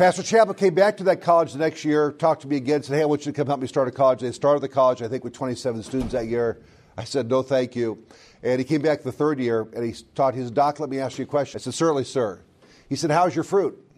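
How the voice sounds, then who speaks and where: A man talks at a very fast pace with an American accent. His pitch varies in an ordinary way. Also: fairly high pitch for a man, quiet background. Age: 50s. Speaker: college vice president and preacher. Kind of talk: sermon.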